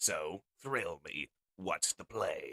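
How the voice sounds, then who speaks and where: A man doing a put-on character voice. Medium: read story. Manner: gruff, blunt.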